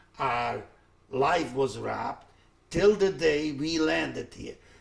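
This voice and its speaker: A non-native accent with vocal fry. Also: man. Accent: foreign. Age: 70s. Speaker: Holocaust survivor. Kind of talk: testimony. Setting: recorded interview. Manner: halting.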